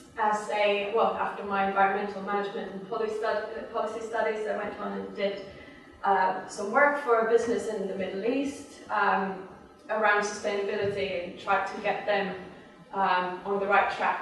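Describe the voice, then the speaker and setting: A woman's monotone, flat delivery with a slight Swedish accent, amid audible room echo and noticeable background noise. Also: medium pitch for a woman, moderate pace. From Sweden. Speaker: sustainability worker. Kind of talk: talk to a group. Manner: hesitant, many fillers.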